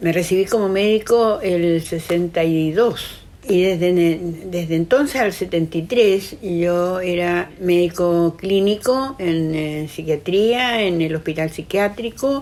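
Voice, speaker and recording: A woman speaks at a very slow pace. Her pitch sits fairly low, with ordinary variation. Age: 80s+. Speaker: psychiatrist. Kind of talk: testimony. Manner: halting, with repetitions.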